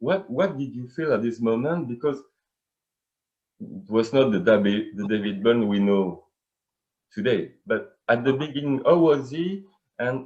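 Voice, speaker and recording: At a fairly slow pace, a man talks at a medium pitch with lively intonation. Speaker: fan interviewer. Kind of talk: interview. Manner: halting.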